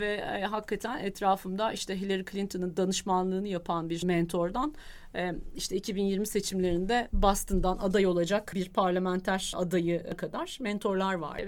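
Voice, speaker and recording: A woman at medium pitch and a fairly quick pace, hardly any pauses, in a very clean recording with a silent background. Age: 40s. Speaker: corporate lawyer. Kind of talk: interview. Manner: hesitant with fillers.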